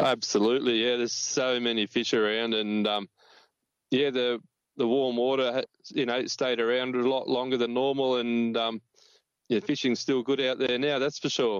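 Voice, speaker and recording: At a moderate pace, a man with an Australian accent speaks at a medium pitch. His loudness stays very even and his intonation is monotone and flat. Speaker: fishing reporter. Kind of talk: casual chat.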